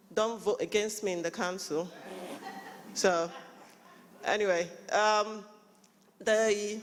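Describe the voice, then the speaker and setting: A woman talks at a very slow pace, leaving long, frequent pauses. Audible echo fills the room around her. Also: medium pitch for a woman. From Nigeria. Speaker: local councillor and conference panel moderator. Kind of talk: conference panel introductions. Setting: conference hall with live audience. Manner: animated.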